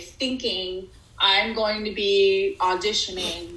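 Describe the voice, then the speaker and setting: Speaking with an American accent at a medium pitch, a woman is heard over noticeable background noise with audible room echo. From Texas. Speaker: actress and TV writer. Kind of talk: casual interview.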